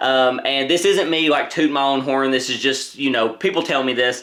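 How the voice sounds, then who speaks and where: Loud and animated in tone, a man speaks. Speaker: board game youtuber. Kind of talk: casual chat.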